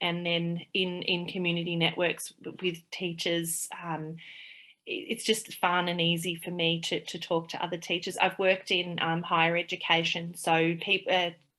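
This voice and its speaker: This woman speaks in an Australian accent at a moderate pace, her fairly low-pitched voice bright and sharp in tone, with monotone, flat intonation. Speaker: play therapist and early childhood teacher. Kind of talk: interview conversation. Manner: halting, many fillers.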